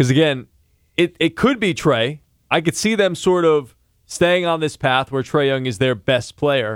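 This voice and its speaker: A man speaks at a fairly slow pace with a fairly high pitch. He has an unremarkable speaking voice and lively intonation. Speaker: podcast host. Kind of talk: casual sports chat.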